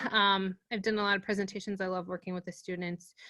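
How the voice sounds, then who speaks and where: Bright, sharp tone with an American accent, in a dry, close sound with no echo. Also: woman. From Pittsburgh, Pennsylvania. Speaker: workshop presenter. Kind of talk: online workshop presentation. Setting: video call. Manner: casual, many fillers.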